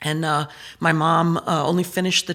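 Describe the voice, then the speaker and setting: A woman's very deep, low voice with a southern Illinois accent, fairly even intonation and a moderate pace, on a very clean recording with a silent background. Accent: Midwestern American (southern Illinois). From Southern Illinois / Metro East, US Midwest. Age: 60s. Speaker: state senator. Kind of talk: casual interview conversation.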